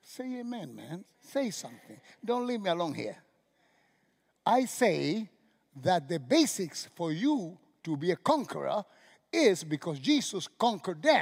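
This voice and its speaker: In a Cuban accent, a man speaks at a fairly slow pace in a high voice with very wide pitch swings and big swings in loudness. He leaves long, frequent pauses, and the recording is very clean with a silent background. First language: Spanish. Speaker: pastor. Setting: church with live congregation. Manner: halting, self-correcting, restarts words mid-phrase; animated, exclamatory, punctuated by laughs and sudden hushes.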